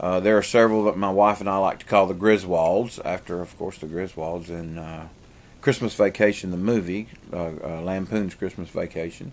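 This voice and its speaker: In a strong Southern US accent, a man with a very deep, low pitch speaks at a moderate pace with fairly even intonation and big swings in loudness. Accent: heavy southern US. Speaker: vlogger and pastor. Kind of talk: casual vlog chat. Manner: rambling with many fillers.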